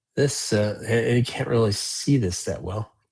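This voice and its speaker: His tone is dark and mellow, somewhat breathy, with fairly even intonation. The man is heard against a quiet background. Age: 60s. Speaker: model railroading live streamer. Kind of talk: live stream chat with viewers. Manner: casual, many filler words.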